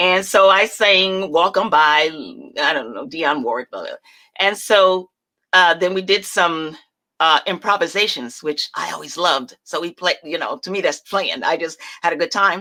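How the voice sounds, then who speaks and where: A woman with an American accent speaks at a moderate pace in a fairly low, bright and sharp voice whose loudness swings widely. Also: ordinary pitch variation. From US South, North Carolina, later New Jersey. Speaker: stage performer and abuse survivor. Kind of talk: interview testimony.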